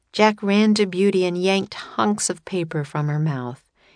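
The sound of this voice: An unforced reading voice shows ordinary variation in pitch.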